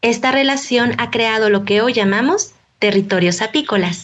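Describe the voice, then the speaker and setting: Here is a woman with an ordinary speaking voice at a fairly high pitch. She keeps a moderate pace and ordinary pitch variation. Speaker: radio program host / narrator. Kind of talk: radio documentary narration.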